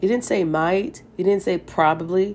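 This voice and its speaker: Vocal fry runs through a woman's speech at a moderate pace. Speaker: Bible reading podcaster. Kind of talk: Bible reading and devotional commentary. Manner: animated, exclamatory.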